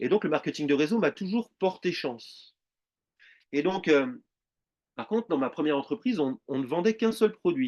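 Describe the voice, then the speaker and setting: In a quiet background, a man with a fairly high pitch speaks at a moderate pace, his voice showing very wide pitch swings. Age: 40s. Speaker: network marketing presenter. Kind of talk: sales pitch.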